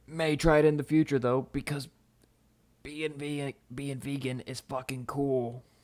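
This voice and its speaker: In an American accent, a man talks at a fairly slow pace with a fairly high pitch and monotone, flat intonation. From US South, Mississippi. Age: 20s. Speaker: content creator. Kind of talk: live stream Q&A. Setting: live stream. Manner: casual, rambling with fillers.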